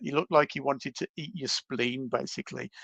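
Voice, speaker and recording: A man speaks with a Birmingham accent at a moderate pace and ordinary pitch variation. The sound is dry and close with no echo over a quiet background. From England, Birmingham. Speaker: reptile enthusiast, herping traveller. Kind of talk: storytelling in podcast conversation.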